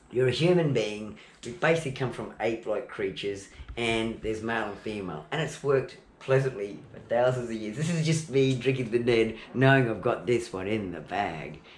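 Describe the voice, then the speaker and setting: A man with an Australian accent talks in an animated, lively way at a medium pitch, his loudness swinging widely amid audible room echo. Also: fairly quick pace. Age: 60s. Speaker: home video maker. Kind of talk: casual chat.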